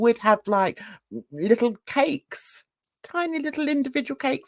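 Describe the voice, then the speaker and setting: A woman's animated voice with very wide pitch swings, dry and close with no echo, on a very clean recording with a silent background. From London, England. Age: old. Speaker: live stream host. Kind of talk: casual chat.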